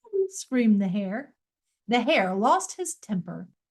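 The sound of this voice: An unforced reading voice is heard. Behind it, the background is quiet.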